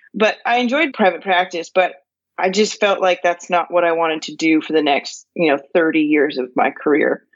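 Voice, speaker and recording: With an American accent and a normal speaking voice, a woman talks at a moderate pace in a fairly low pitch with ordinary pitch variation. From California. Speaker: law professor and farmer. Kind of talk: interview conversation.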